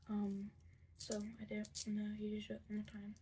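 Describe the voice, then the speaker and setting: A woman speaks quietly at a fairly quick pace. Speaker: craft tutorial video maker. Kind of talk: tutorial.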